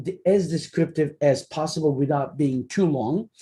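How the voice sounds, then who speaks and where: Delivered at a fairly slow pace, the speech carries a Turkish accent. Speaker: academic researcher. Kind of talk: lecture. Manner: hesitant, with fillers.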